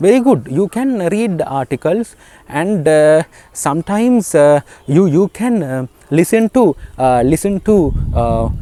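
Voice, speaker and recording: A man with a high pitch speaks in a Sri Lankan accent at a fairly slow pace, with very wide pitch swings. The sound is dry and close with no echo, over noticeable background noise. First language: Sinhala. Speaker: English teacher. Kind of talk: tutorial. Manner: halting, many fillers as deliberate broken English demo.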